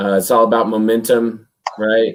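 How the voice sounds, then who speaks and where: This man speaks quietly at a fairly low pitch. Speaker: sports podcast host. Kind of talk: casual chat.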